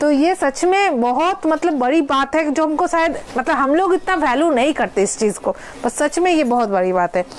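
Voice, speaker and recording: Noticeable background noise surrounds a woman's high-pitched voice. Her pitch swings very widely while her loudness stays very even. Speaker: online saree seller. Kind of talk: live sales stream. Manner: code-switching Bengali, Hindi, English; hesitant fillers.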